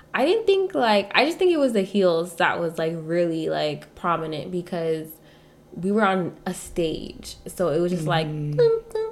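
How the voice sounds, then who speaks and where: A woman talks at a moderate pace. Noticeable background noise runs throughout. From Nigeria. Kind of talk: casual chat.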